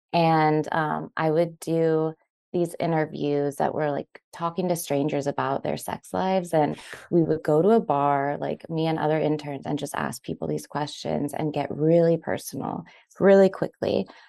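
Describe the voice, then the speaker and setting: In a dry, close sound with no echo, a woman with a very deep, low pitch and a dark, mellow tone speaks at a moderate pace. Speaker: writer. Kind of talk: interview conversation. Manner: casual, friendly.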